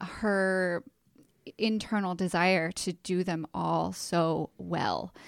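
The speaker has an unremarkable speaking voice with fairly even intonation. The recording is very clean, with a silent background. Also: woman. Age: 40s. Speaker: podcast host and marketing agency owner. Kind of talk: casual interview.

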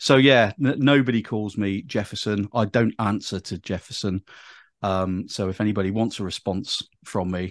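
A man speaks at a moderate pace in a fairly low pitch, with ordinary pitch variation and a dry, close sound with no echo. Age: 50s. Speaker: executive search recruiter. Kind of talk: interview. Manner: animated.

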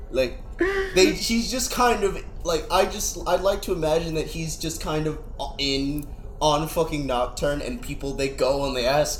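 A man keeps a moderate pace while noticeable background noise carries on around him. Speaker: podcast co-host. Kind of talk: casual banter, Q&A episode.

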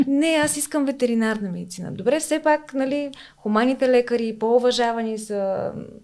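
A woman speaks in a high register. Her pitch moves up and down an ordinary amount. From Bulgaria, Smolyan (Rhodopes). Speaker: veterinarian. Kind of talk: casual interview.

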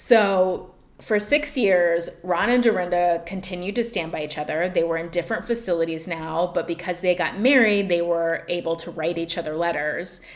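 A woman speaks at a fairly low pitch with ordinary pitch variation, at a moderate pace with hardly any pauses. Noticeable background noise sits behind her. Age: 40s. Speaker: podcast co-host and comedian. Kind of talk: casual chat with storytelling. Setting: small makeshift home studio.

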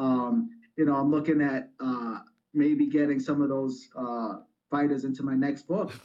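With an American accent, a man uses a normal speaking voice, fairly high in pitch, with lively intonation at a fairly slow pace. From New York, the Bronx. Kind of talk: interview.

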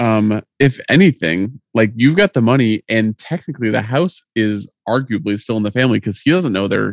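A man with a normal speaking voice talks at a medium pitch and moderate pace, his intonation lively. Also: dry, close sound with no echo. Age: 30s. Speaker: podcast co-host. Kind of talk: casual chat recapping a TV episode.

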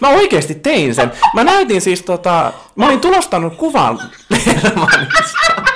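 Over noticeable background noise, a man speaks in a raised, projected voice at a high pitch and a fairly slow pace. His loudness stays very even while his pitch swings very widely. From Finland, Varkaus. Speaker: podcast co-host. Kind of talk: casual chat. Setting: home studio.

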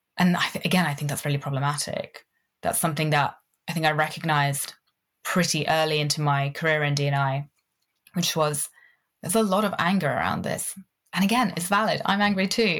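A woman's very deep, low voice in a British accent, fairly quick with long, frequent pauses and ordinary pitch variation, on a very clean recording with a silent background. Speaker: connection coach. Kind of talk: casual interview.

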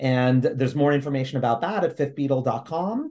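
A man's medium-pitched voice with lively intonation and an American accent. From New York City, Lower East Side. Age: 50s. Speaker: graphic novel writer and theater producer. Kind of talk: interview. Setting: video call. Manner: halting, many repetitions.

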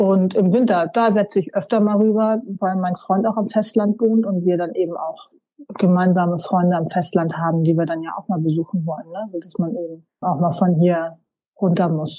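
Somewhat breathy and dark and mellow in tone, a woman with a medium pitch speaks at a moderate pace. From North Frisia, Hallig Hooge (northern Germany). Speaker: island gallery owner and holiday landlord. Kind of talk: casual interview.

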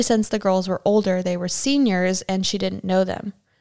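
On a very clean recording with a silent background, a woman with an unremarkable speaking voice talks at a moderate pace and medium pitch. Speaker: true crime podcast host. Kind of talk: true-crime narration read from researched sources. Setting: living in Germany. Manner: steady, serious, even-paced storytelling delivery.

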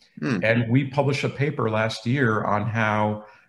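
In an unremarkable speaking voice, a man with an American accent talks at a fairly slow pace and a medium pitch. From New England (Boston). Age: 50s. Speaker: biochemistry professor. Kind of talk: interview.

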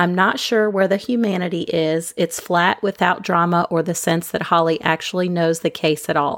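Speaking at a moderate pace with hardly any pauses, a woman has an unremarkable speaking voice, a fairly low pitch, fairly even intonation and very even loudness. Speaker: true crime podcaster. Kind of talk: scripted narration.

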